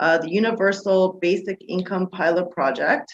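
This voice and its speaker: A woman speaks with a Canadian accent. Her pitch is medium, with ordinary variation. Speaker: political candidate. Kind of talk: campaign presentation. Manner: fast.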